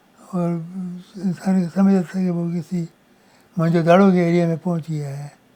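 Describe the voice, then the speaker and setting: A man speaks in a high pitch with a dark, mellow tone. His intonation stays monotone and flat. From Peshawar, Pakistan. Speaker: retired pharmaceutical businessman. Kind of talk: interview answer.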